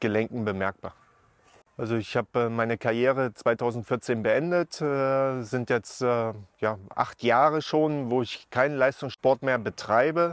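Fairly slow delivery with fairly even intonation and a dry sound with no echo. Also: man. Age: 40s. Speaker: former professional footballer. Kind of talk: interview. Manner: hesitant, many filler sounds. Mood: calm, reflective. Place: open country. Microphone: lapel.

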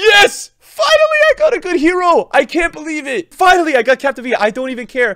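A man's raised, projected voice, animated and bright with a sharp tone, at a fairly quick pace over a quiet background. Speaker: gaming YouTuber and streamer. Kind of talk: casual gaming commentary, pack opening. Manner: excitable, loud, animated. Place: home room.

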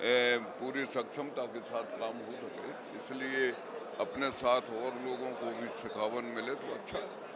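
Loud background noise sits under a man speaking fairly slowly, the sound dry with no echo. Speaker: politician. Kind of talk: interview answer. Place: hall. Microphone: handheld.

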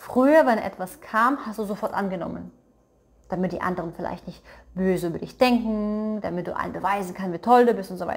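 A woman speaks with ordinary pitch variation. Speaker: tarot card reader. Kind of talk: tarot reading monologue. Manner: casual, with frequent fillers; changes pace deliberately. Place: home room.

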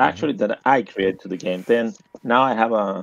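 Here a man speaks with a Spanish accent. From Argentina. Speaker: game designer. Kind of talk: interview. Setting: voice call. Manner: halting.

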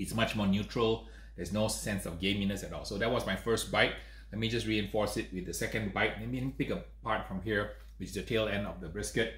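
A man speaks at a fairly quick pace. There is audible room echo. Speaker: host. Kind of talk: tasting review commentary. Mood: enthusiastic, pleased. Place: home room.

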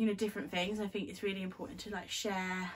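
Very rapid delivery from a woman, her voice somewhat breathy. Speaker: beauty vlogger. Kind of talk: casual talk to camera. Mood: cheerful, friendly. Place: home room. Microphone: phone near.

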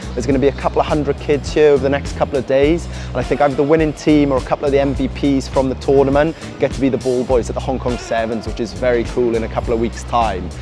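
A man talks at a very fast pace over clear background music. The sound is dry with no echo. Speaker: rugby coach vlogger. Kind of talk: tutorial. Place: hall. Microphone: lapel.

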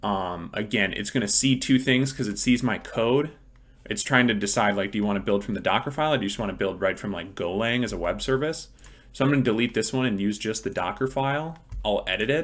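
Words come from this man very fast. The rise and fall of his pitch is ordinary. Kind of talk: tutorial. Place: home room.

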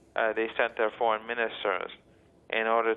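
A man's voice, fairly low in pitch. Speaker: university professor, guest. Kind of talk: interview answer. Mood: measured, analytical. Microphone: phone line.

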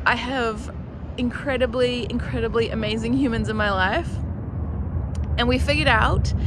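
Against loud background noise, the speaker talks at a fairly slow pace in a dry sound with no echo. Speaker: van life vlogger. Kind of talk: casual vlog chat. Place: street. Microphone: phone near.

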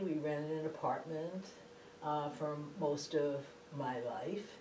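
A woman is speaking with audible room echo. Light background noise can be heard. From Massachusetts, Boston area. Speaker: law professor. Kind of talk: oral history interview. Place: office.

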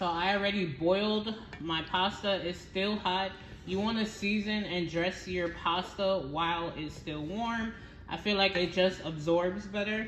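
A woman at a fairly slow pace, fairly even intonation, light background noise and audible room echo. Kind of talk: tutorial. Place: kitchen. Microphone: phone near.

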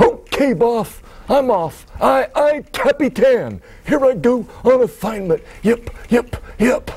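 A man's put-on character voice at an extremely high pitch and a fairly slow pace. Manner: overexcited, silly, repetitive.

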